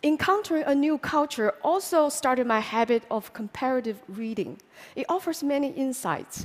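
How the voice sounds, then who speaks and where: In a Chinese accent, a woman speaks at a moderate pace with high pitch and lively intonation. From China, Hunan. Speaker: public speaker. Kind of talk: talk to an audience.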